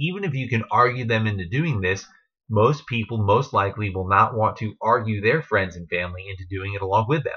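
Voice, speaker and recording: Speaking at a fairly low pitch, a man moves at a fairly quick pace with ordinary pitch variation. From New Jersey. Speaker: network marketing distributor and trainer. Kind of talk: training talk to team. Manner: casual, with fillers.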